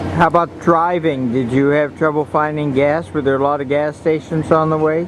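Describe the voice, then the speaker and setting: With monotone, flat intonation, a man with a fairly high pitch speaks at a moderate pace against noticeable background noise. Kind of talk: casual family interview.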